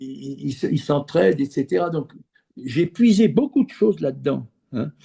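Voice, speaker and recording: A man speaks with a somewhat breathy, dark, mellow tone and lively intonation. The sound is dry and close with no echo, and the background is quiet. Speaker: former business executive turned geobiologist. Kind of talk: interview. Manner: halting, many repeated words.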